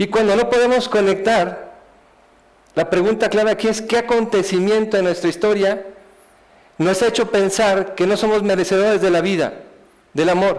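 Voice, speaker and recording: A man speaks at a moderate pace in a high voice, his loudness staying very even throughout. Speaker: speaker giving a life testimony. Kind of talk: testimony talk. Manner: halting, many repetitions.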